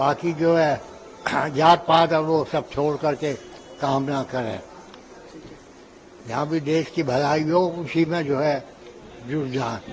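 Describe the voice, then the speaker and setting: A man with a fairly high pitch and fairly even intonation, long, frequent pauses, and noticeable background noise. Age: 80s+. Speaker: voter. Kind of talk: street interview.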